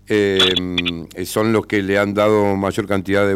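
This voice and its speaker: Over noticeable background noise, a man with a fairly low pitch speaks at a fairly slow pace in a monotone, flat intonation. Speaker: radio host. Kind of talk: radio interview.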